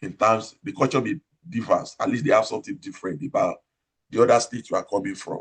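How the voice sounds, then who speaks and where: A man with a strong Nigerian accent talks at a very fast pace. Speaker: operating room nurse manager. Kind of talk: interview, career advice talk. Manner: loud.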